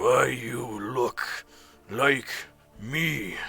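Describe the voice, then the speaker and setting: Over music in the background, a man uses a put-on character voice that is gruff, guttural and raspy, with a menacing tone at a medium pitch. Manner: menacing, rumbling.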